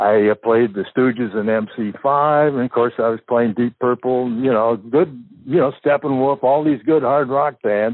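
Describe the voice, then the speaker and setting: This is an unremarkable speaking voice with ordinary pitch variation. There are hardly any pauses. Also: man, medium pitch for a man, fairly slow pace. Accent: American. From Southern California, San Fernando Valley. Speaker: former overnight radio DJ. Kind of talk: casual interview storytelling.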